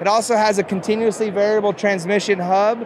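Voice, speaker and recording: Amid noticeable background noise, a man with a high-pitched voice talks at a moderate pace with fairly even intonation, the sound dry with no echo. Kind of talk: interview answer. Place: hall. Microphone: handheld.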